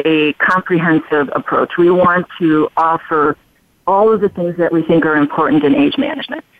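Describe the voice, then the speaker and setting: A woman with an American accent and an unremarkable speaking voice speaks at a moderate pace. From Chicago, US Midwest. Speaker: plastic surgeon. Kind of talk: interview.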